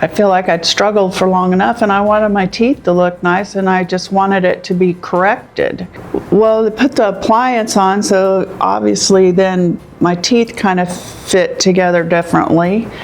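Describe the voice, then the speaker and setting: Over noticeable background noise, a woman with an American accent speaks at a moderate pace with fairly even intonation. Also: medium pitch for a woman, very even loudness. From Kansas. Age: 60s. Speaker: patient, nurse anesthetist. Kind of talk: testimonial interview. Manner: hesitant, conversational with fillers.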